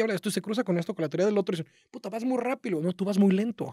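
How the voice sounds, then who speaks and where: Against a quiet background, a man talks very fast in a dry sound with no echo. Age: 30s. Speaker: marketing entrepreneur; podcast guest. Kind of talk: casual interview chat. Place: studio. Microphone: studio mic.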